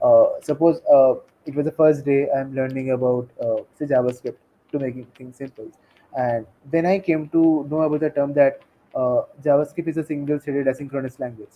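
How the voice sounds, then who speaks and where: Speaking with a Bengali accent, a man uses a fairly high pitch and fairly even intonation at a fairly quick pace. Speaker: tech community leader and technical writer. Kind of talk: interview.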